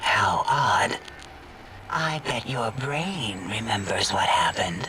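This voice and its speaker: This man puts on a character voice. He speaks at a very slow pace. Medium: game stream. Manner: prim, clinical.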